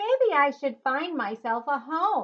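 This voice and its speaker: Putting on a character voice, a woman talks high and fairly slowly. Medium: read story.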